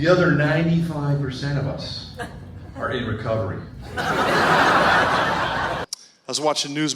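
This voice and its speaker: Audible room echo and noticeable background noise surround this recording. A man with a fairly high pitch speaks at a moderate pace. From New England. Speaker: stand-up comedian. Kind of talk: stand-up. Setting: stage with audience.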